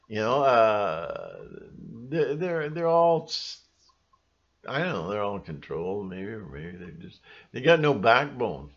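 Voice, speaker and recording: Mumbling at a fairly slow pace, a man speaks at medium pitch with very wide pitch swings. Long, frequent pauses break his speech against a quiet background. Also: big swings in loudness. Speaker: conspiracy vlogger. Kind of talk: casual vlog monologue. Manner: rambling, self-described mumbling; animated, mocking voices.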